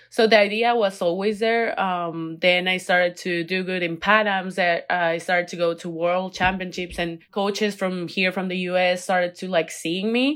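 A woman with a Spanish accent speaks at a moderate pace and medium pitch, with fairly even intonation and hardly any pauses, on a very clean recording with a silent background. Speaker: college athlete, Olympic diver. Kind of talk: interview.

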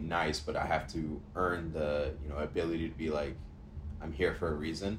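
With audible room echo, a man speaks at a fairly quick pace in a very deep, low pitch, somewhat breathy and with monotone, flat intonation. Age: 20s. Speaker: podcast co-host. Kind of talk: casual chat.

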